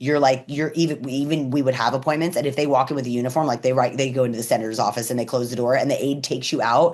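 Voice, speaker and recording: With noticeable background noise, a woman talks in a very deep, low register. Her tone is animated and her pace very fast, with hardly any pauses. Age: 40s. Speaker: cannabis and psychedelics educator and activist. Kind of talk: casual interview.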